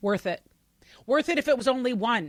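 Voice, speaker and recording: With an American accent, a woman speaks at a fairly quick pace in an animated tone and lively intonation, on a very clean recording with a silent background. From US Pacific Northwest. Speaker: business founder, recovery advocate. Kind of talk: casual interview chat.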